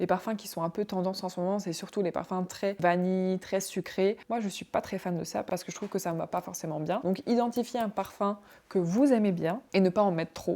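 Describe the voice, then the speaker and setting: Her voice is dark and mellow, medium in pitch for a woman, with fairly even intonation, a fairly quick pace and hardly any pauses, captured on a very clean recording against a silent background. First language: not French (speaking French). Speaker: vlogger. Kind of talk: casual advice vlog. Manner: conversational.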